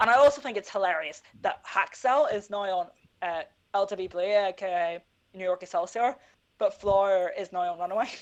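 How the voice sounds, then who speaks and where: Speaking at a fairly quick pace with a Northern Irish accent, a woman uses medium pitch and ordinary pitch variation. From Northern Ireland. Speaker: esports podcast co-host. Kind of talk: casual esports podcast chat.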